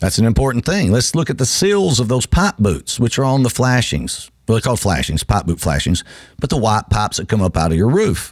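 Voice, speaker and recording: Vocal fry runs through a man's medium-pitched voice, which makes very wide pitch swings at a fairly quick pace. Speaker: radio host and roofing company owner. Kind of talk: live radio talk. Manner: halting, unscripted.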